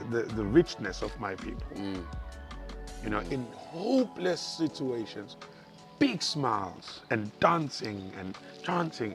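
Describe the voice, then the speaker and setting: Music plays in the background as the speaker talks in a South African accent. The pace is fairly slow, with long, frequent pauses. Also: man. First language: isiZulu. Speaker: stand-up comedian and radio presenter. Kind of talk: interview answer.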